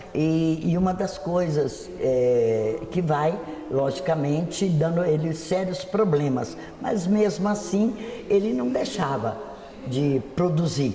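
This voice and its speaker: Through audible room echo and noticeable background noise, a man with a fairly high pitch speaks very slowly with lively intonation. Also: very even loudness. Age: 70s. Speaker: local history expert. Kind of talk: interview. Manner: halting, with many hesitations.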